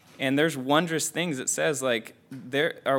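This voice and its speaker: Using an unremarkable speaking voice, a man talks at a fairly slow pace with fairly even intonation. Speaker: Bible study participant. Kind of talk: sharing reflections in group discussion. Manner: casual, filler-heavy speech.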